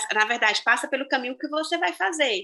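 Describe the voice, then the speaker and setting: Her voice high and her tone bright and sharp, a woman speaks with lively intonation. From Brazil, small interior town. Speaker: teacher. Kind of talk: interview. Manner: hesitant, repeats words.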